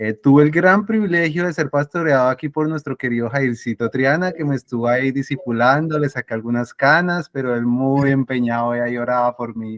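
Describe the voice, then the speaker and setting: A man's medium-pitched voice with ordinary pitch variation and hardly any pauses, in a dry, close sound with no echo. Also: fairly quick pace. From Colombia, Ibagué (Tolima). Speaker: interview guest, mathematician. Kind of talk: casual interview.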